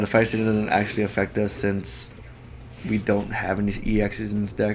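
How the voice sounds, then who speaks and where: Noticeable background noise sits behind the speaker. He is a man with a fairly low pitch, talking at a moderate pace. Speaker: gaming YouTuber. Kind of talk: gameplay commentary. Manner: halting, self-correcting.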